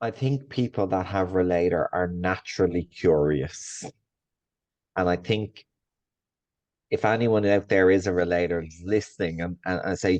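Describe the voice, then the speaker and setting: Against a quiet background, a man with an Irish accent speaks at a moderate pace in a very deep, low pitch, using ordinary pitch variation and long, frequent pauses. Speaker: coach. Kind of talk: casual podcast discussion.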